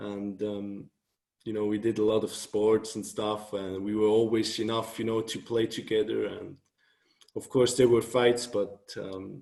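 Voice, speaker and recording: The speech comes at a fairly slow pace in a Swiss German accent. Its intonation is monotone and flat. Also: man, fairly low pitch for a man. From Switzerland, Thun near Bern. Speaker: author and blogger. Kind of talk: interview.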